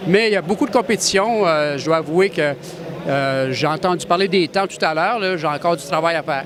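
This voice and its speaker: A man with a high pitch and ordinary pitch variation speaks at a fairly quick pace over noticeable background noise. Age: 60s. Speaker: racing driver. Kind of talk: interview.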